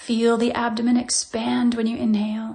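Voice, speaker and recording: In a calm tone, a woman speaks at a fairly slow pace with monotone, flat intonation. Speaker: physical therapist. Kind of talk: guided meditation. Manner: slow, calm.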